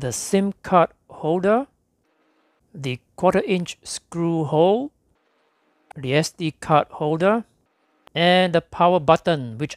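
In a very clean recording with a silent background, a man talks slowly at a fairly high pitch with lively intonation, the sound dry and close with no echo.

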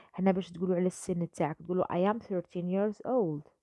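In an Algerian accent, a woman talks with a dark, mellow tone and a dry, close sound with no echo. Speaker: English teacher. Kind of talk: tutorial.

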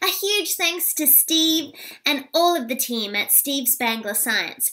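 A woman speaks slowly with lively intonation in a high, squeaky voice. Her tone is bright and sharp.

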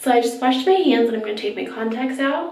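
With audible room echo, a woman's voice shows ordinary pitch variation. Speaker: beauty vlogger. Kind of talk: casual vlog chat. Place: bathroom. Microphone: phone near.

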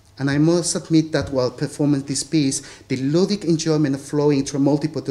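A man speaks at a moderate pace with a Spanish accent. His pitch is fairly high and his intonation fairly even. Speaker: theatre lecturer and performer; conference panelist. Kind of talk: academic paper reading. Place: hall. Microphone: podium.

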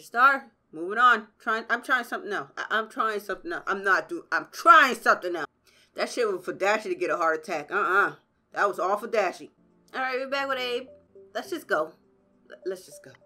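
Shouting over background music, a woman with a fairly high pitch and an animated tone talks at a fairly quick pace, her pitch swinging very wide and her loudness varying greatly. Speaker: gaming video creator. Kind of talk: gameplay commentary. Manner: loud, screaming.

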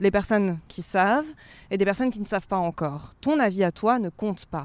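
A woman speaks in a calm tone at a medium pitch with ordinary pitch variation. The recording is very clean, with a silent background. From Provence, southern France. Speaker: journalist. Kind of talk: casual interview. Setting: outdoors, walking in a park.

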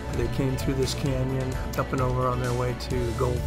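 Loud music plays behind a man speaking at a moderate pace. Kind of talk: casual travel commentary. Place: motorbike. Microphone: helmet.

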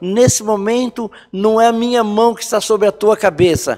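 A high-pitched man's voice with fairly even intonation. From rural Brazil. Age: 60s. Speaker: pastor. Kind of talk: sermon. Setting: online church service. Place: church.

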